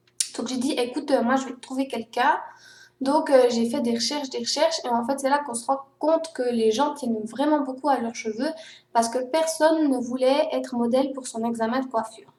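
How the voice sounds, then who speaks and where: At a moderate pace, a woman speaks high-pitched with fairly even intonation. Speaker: vlogger. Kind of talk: personal vlog monologue.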